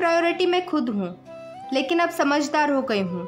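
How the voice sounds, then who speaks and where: A woman talks with ordinary pitch variation. Music plays in the background. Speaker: poet. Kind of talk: poetry reading.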